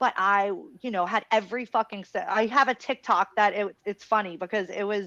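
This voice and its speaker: Recorded with a dry, close sound with no echo and a quiet background, a woman speaks at a medium pitch in a plain, everyday voice. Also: fairly even intonation, fairly quick pace. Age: 30s. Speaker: podcast host. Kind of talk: casual podcast chat.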